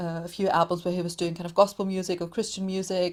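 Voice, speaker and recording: A woman talks at a fairly quick pace with a German accent, her pitch medium. The recording is very clean, with a silent background. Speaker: podcaster, music commentator. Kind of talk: casual interview chat.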